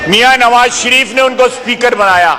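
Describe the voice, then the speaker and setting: A man's raised, projected voice at an extremely high pitch, with noticeable background noise. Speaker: defense minister, member of national assembly. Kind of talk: parliamentary floor speech, heated debate. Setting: national assembly hall with interruptions from other members. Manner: aggressive, sarcastic, forceful.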